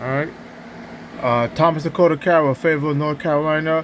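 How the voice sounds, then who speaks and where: Noticeable background noise surrounds a man who mumbles. He talks at a fairly quick pace in a fairly high voice. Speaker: video blogger. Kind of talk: casual monologue rant. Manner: mumbling; halting.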